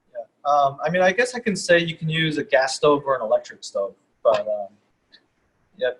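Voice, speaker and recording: Speaking at a moderate pace with long, frequent pauses, a man talks in a New York accent. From US Northeast. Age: 30s. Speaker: sushi chef. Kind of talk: casual chat.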